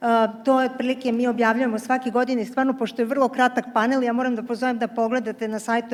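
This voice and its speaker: The woman's fairly high pitch stays monotone, with flat intonation throughout. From Serbia. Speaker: energy policy official. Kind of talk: panel discussion. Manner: halting, many fillers.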